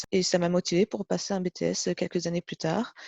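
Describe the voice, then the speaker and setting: Fairly quick pace, monotone and flat intonation, with a dry, close sound and no echo. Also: woman. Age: 40s. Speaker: test technician. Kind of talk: interview testimony. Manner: hesitant, many fillers.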